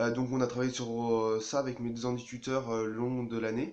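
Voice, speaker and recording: A man talks at a moderate pace and medium pitch. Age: 20s. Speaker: engineering student. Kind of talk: personal testimony. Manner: halting, many hesitations.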